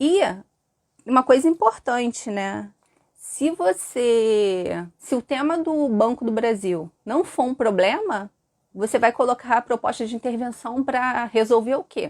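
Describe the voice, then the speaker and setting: The speech moves at a very slow pace with lively intonation. The sound is dry and close, with no echo. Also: woman, high pitch for a woman. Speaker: teacher. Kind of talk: live stream lesson. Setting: live stream with chat.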